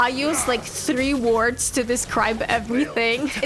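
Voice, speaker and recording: Over noticeable background noise, a woman with a high voice and a non-native accent speaks at a moderate pace with ordinary pitch variation. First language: not English. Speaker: gaming content creator. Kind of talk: casual gameplay commentary. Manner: animated.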